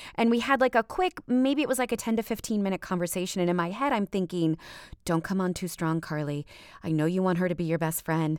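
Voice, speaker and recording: In a very clean recording with a silent background, a woman talks at a very fast pace with an animated tone, lively intonation and medium pitch. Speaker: audiobook narrator and voice actor. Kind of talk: casual chat.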